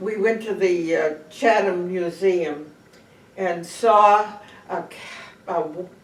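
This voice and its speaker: Amid noticeable background noise, a woman speaks at a very slow pace with long, frequent pauses. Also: medium pitch for a woman, fairly even intonation. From Cape Cod, Massachusetts. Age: 90s. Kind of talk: oral history interview answer.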